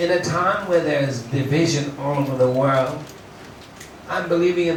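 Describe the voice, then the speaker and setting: Speaking at a moderate pace with fairly even intonation, a man uses a fairly high pitch over noticeable background noise. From United States. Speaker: musician and songwriter. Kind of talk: impassioned public speech. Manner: passionate, heartfelt.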